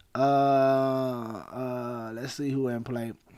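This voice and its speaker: In an Alabama accent, a man speaks with a dark, mellow tone on a very clean recording with a silent background. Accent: US Southern (Alabama). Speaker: fantasy sports streamer. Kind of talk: live stream Q&A. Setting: live stream. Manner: casual.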